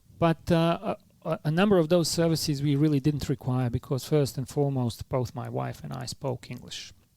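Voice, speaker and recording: With a strong non-native accent, a man speaks at a fairly quick pace in a fairly high pitch, his dark, mellow tone showing ordinary pitch variation in a dry, close sound with no echo. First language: not English. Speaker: philanthropy leader, former refugee. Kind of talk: podcast interview. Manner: hesitant, many fillers.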